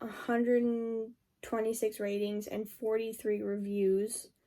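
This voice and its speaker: Recorded very cleanly against a silent background, a woman speaks in a fairly high pitch with a dark, mellow tone and a monotone, flat intonation. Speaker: book reviewer. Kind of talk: casual book review vlog. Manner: filler-heavy, frequent um and like.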